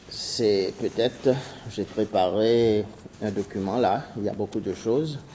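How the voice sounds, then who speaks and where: With a Seychellois accent, a man speaks at a very slow pace in a fairly low pitch with fairly even intonation. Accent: Seychellois Creole accent in French. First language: Seychellois Creole (speaking French). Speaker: anthropologist. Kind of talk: conference talk. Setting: university seminar. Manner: halting.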